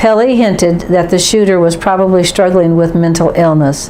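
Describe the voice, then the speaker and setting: Amid noticeable background noise and audible room echo, a woman talks at a moderate pace with a fairly low pitch. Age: 70s. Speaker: political commentator. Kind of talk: opinion monologue. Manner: formal.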